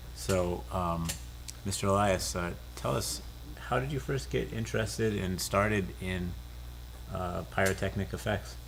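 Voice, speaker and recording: In an American accent, a man with a very deep, low voice and vocal fry talks at a fairly slow pace with long, frequent pauses and very wide pitch swings, amid audible room echo. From Southern California. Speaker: lens company host. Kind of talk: interview.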